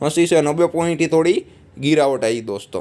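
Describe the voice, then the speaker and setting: This man's voice sits at a fairly high pitch. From Gujarat, India. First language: Gujarati (speaking Hindi). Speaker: stock market analyst. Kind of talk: market analysis video. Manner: casual, conversational.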